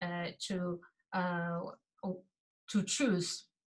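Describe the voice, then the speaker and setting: At a very slow pace, a woman speaks in a medium pitch with a bright, sharp tone. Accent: Xinjiang. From East Turkestan (Xinjiang), Gulja. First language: Uyghur. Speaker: activist. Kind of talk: testimony. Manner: halting, many fillers.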